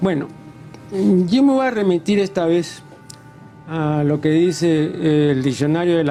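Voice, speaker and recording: With music in the background, a man speaks at a very slow pace. His pitch is high and his intonation lively. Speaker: TV interviewer, intellectual. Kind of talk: interview question.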